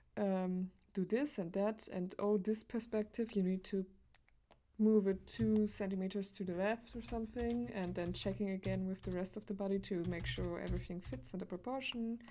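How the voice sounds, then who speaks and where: A woman speaks at medium pitch with a non-native accent and a dark, mellow tone. Her pace is moderate and her pitch variation ordinary. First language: not English. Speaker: streamer, digital artist. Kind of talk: casual live-stream chat while drawing. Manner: halting, many fillers.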